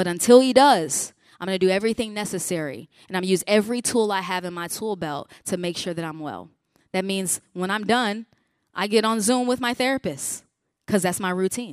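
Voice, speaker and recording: In a normal speaking voice, a woman with an American accent talks fairly quickly at a medium pitch with ordinary pitch variation on a very clean recording with a silent background. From Chicago region, US Midwest. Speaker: pastor and mental health speaker. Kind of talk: conference talk. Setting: conference breakout room with audience.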